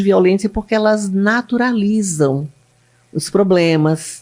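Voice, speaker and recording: This woman speaks at a very slow pace. Her medium-pitched voice has lively intonation. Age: 60s. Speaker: public defender. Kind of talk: interview.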